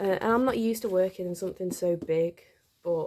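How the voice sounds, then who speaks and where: A woman speaks with fairly even intonation and a dark, mellow tone. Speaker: amateur artist. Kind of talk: casual talk to camera. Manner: hesitant, awkward.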